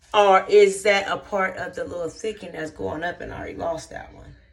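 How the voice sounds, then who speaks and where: A woman's voice amid noticeable background noise. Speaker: hair vlogger. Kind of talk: casual vlog chat.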